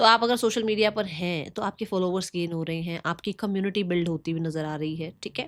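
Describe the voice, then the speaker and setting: A woman with an ordinary speaking voice, medium pitch and ordinary pitch variation, in a very clean recording with a silent background. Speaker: tarot reader. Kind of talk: tarot reading monologue.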